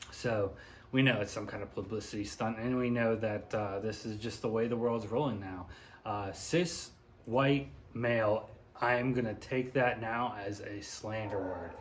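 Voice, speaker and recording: Mumbling and somewhat breathy, a man at a medium pitch talks at a moderate pace with fairly even intonation, with audible room echo. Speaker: YouTuber, commentary vlogger. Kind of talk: casual commentary monologue. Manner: mumbly.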